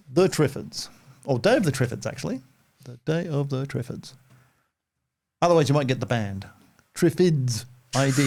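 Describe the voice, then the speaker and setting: A man's somewhat breathy voice with ordinary pitch variation and long, frequent pauses. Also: medium pitch for a man, moderate pace. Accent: Australian. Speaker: visual effects artist. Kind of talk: casual chat.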